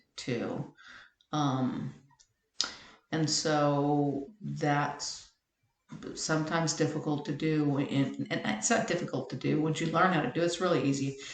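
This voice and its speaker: Speaking with fairly even intonation, a woman with a very deep, low pitch is heard amid audible room echo. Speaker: web tutorial maker. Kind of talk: tutorial.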